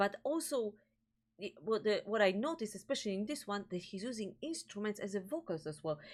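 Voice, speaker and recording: With a Polish accent, a woman of medium pitch talks at a fairly quick pace with lively intonation on a very clean recording with a silent background. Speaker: music reaction video host. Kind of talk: casual chat. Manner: halting, searching for words.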